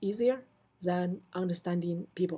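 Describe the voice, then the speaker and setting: With a non-native accent, a woman speaks at a medium pitch in a dark, mellow tone. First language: not English. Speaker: assistant professor of computer science. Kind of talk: recorded self-introduction answering prompts. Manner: halting, many fillers and restarts.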